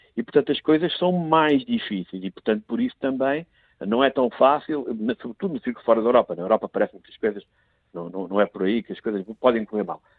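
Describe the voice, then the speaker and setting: A man races along at a very fast pace, his pitch medium. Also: lively intonation, big swings in loudness. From Portugal, son of emigrants in France. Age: 50s. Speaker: member of parliament. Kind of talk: political commentary. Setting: remote, abroad on official trip. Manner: repeats words when starting sentences.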